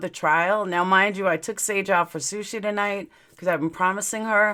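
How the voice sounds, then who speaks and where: A woman with a New York accent has a bright, sharp tone at a medium pitch. The recording is very clean, with a silent background. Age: 40s. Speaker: true crime YouTuber. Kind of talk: casual live stream chat. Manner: slurred at times from aligners.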